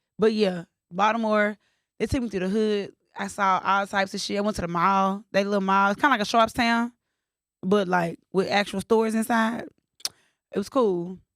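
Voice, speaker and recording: A woman with a Southern US accent speaks in an animated tone at a medium pitch and a moderate pace, leaving long, frequent pauses, with a dry, close sound with no echo. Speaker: podcast co-host. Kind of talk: casual chat.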